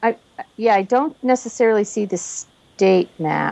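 This is a woman's voice. She speaks at a fairly slow pace. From Massachusetts, US.

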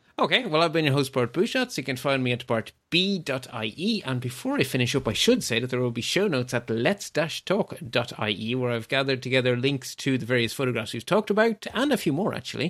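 A man with an Irish accent talks at a fairly quick pace in a medium pitch. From rural Ireland. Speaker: podcast host. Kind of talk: casual interview chat.

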